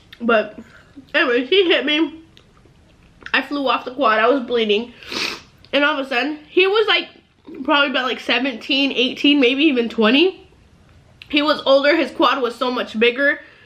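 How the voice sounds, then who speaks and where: Over noticeable background noise, a woman with a high pitch talks at a moderate pace with ordinary pitch variation and long, frequent pauses. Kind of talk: casual talk to camera.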